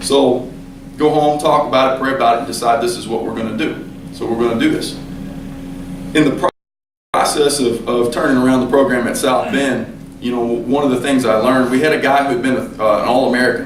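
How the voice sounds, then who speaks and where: Speaking at a fairly quick pace with fairly even intonation, a man is heard with audible room echo. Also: medium pitch for a man. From western Kentucky. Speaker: college basketball coach. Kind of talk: speech to a club. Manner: conversational, halting with repetitions.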